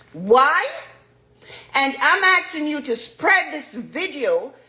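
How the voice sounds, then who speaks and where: A woman's high, raised and projected voice at a very slow pace, over noticeable background noise. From Jamaica. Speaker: dancehall artist. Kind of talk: testimony.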